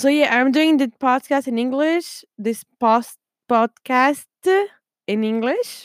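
A woman with a French accent speaks in a high voice with ordinary pitch variation, the sound dry and close with no echo. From France. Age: 20s. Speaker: podcaster. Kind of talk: casual monologue. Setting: at home desk. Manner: chatty, playful.

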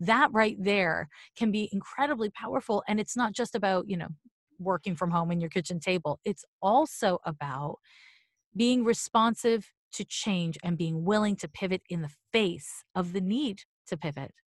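A woman speaks with lively intonation and a somewhat breathy voice. The sound is dry and close with no echo, over a quiet background. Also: medium pitch for a woman, moderate pace. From Quebec (Montreal). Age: 40s. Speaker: astrologer and psychic medium. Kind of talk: casual interview.

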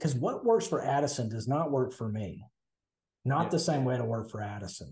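Somewhat breathy and with lively intonation, a man with a Southern US accent speaks at a fairly quick pace and a medium pitch. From US South. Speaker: podcast co-host. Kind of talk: casual chat.

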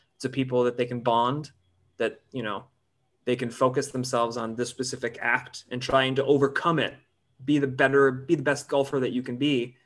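At a fairly quick pace, a man with an American accent speaks at medium pitch in a monotone, flat delivery. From northern Michigan, rural. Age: 40s. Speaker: actor. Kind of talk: casual chat.

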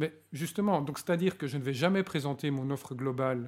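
At a moderate pace, a man with a normal speaking voice talks at a fairly high pitch with ordinary pitch variation, in a very clean recording with a silent background. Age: 40s. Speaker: organizational change consultant. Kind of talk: interview. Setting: hotel recording session.

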